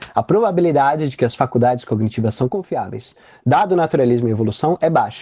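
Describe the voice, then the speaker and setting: A man's dark, mellow tone at a fairly quick pace, lively in intonation, with a dry, close sound and no echo. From Brazil, Campinas region (São Paulo). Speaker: philosophy graduate student and apologetics group leader. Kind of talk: online lecture presentation. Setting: online live stream with chat. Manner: fast.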